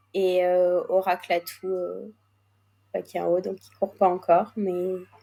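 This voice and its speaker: A woman is speaking at a medium pitch. Her pace is fairly slow. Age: 20s. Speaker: racehorse co-owner. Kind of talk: interview.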